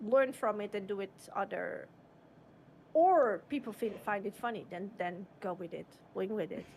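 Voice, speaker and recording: A woman with a non-native accent, ordinary pitch variation, and long, frequent pauses. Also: medium pitch for a woman, moderate pace. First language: not English. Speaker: streamer. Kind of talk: casual chat.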